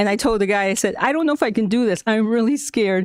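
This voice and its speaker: With a Spanish accent and medium pitch, a woman speaks at a fairly quick pace in a very clean recording with a silent background. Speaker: school staff member presenting to school board. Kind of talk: prepared presentation to board meeting. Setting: school board meeting.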